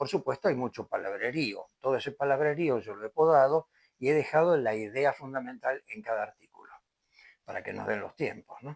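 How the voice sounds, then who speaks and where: Recorded dry and close with no echo, a man speaks at a moderate pace with ordinary pitch variation and big swings in loudness. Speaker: lecturer on medical law. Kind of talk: lecture. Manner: occasional stumbles and hesitations.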